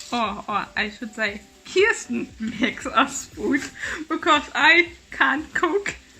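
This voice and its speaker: A woman talks with a strong German accent. Her pace is very slow. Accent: German accent, thick. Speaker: vlogger. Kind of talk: casual vlog chat. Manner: halting.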